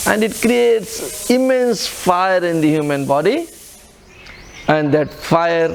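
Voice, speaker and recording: A man with an Indian accent and a high pitch for a man, lively intonation, a very slow pace with long, frequent pauses, audible room echo and noticeable background noise. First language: Hindi. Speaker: spiritual teacher. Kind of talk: lecture. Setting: retreat in an ashram.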